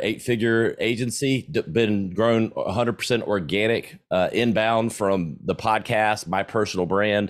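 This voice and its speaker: The recording is very clean, with a silent background. A man with a fairly low pitch and a slight Southern US accent speaks with ordinary pitch variation. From US South, South Carolina. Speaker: entrepreneur and podcaster. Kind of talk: interview. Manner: casual.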